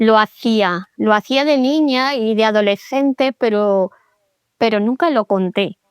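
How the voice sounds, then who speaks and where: A woman with a fairly high pitch speaks at a fairly slow pace, her loudness very even and her pitch varying in an ordinary way, in a dry, close sound with no echo. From Andalusia, Spain (small town near Seville). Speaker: pedagogue and author. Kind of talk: interview conversation. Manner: hesitant, many repetitions.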